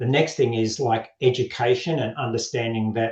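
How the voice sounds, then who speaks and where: At a medium pitch and moderate pace, a man with an Australian accent sounds somewhat breathy, with ordinary pitch variation. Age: 60s. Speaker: men's health coach. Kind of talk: podcast interview. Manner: straight-talking.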